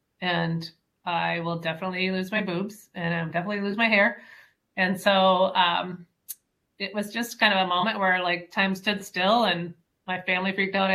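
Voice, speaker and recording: A woman of medium pitch with monotone, flat intonation and long, frequent pauses. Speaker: podcast guest. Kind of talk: casual, conversational. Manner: fast talker.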